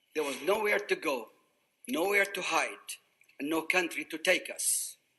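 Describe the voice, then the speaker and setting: In a raised, projected voice with a bright, sharp tone, the speaker moves at a fairly slow pace with lively intonation. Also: man. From Iraq, Baghdad. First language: Arabic. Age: 80s+. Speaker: refugee survivor speaker. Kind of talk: prepared testimony speech.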